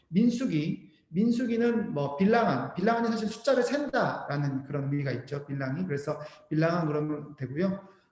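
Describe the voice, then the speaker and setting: This man's voice sits high and swings very widely in pitch. He keeps a moderate pace, and the room echo is audible. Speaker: missionary and seminary professor teaching Bible Indonesian. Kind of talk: lecture.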